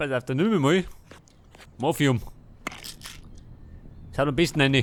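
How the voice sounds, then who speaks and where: With a Bavarian accent, a man talks at a moderate pace in a fairly high pitch with ordinary pitch variation. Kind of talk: video game let's play commentary. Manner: casual.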